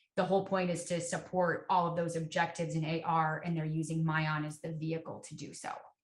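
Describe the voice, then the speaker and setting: A woman's somewhat breathy, fairly low voice at a fairly quick pace, with monotone, flat intonation. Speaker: education software account executive. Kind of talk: webinar product Q&A.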